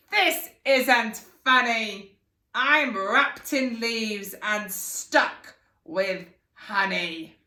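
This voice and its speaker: In a put-on character voice, a female-sounding speaker talks very slowly at a fairly high pitch. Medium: read story. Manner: commanding, menacing.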